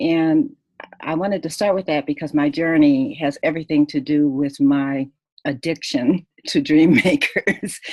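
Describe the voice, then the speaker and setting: A woman talks with an American accent at a very deep, low pitch and a fairly slow pace, with ordinary pitch variation. The recording is very clean, with a silent background. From US, military bases. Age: 60s. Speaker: author and keynote speaker. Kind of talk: interview storytelling. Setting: radio show, pre-recorded. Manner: halting, many fillers.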